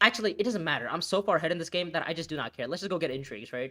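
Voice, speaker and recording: A man with a non-native accent speaks at a fairly high pitch. The recording is very clean, with a silent background. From India. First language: not English. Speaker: gaming streamer. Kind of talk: live gameplay commentary. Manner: halting, self-correcting.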